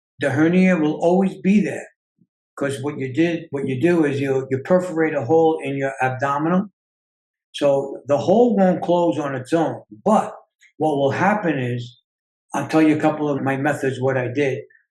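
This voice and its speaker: This man has a normal speaking voice, fairly high in pitch. He keeps a moderate pace with ordinary pitch variation. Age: 60s. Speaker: self-healing coach and author. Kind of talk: interview.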